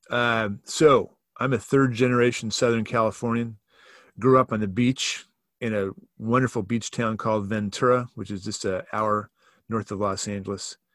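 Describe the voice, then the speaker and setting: An ordinary speaking voice at a moderate pace with fairly even intonation, in a dry, close sound with no echo, on a very clean recording with a silent background. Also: man. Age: 60s. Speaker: church staff member and author. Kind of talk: casual interview conversation.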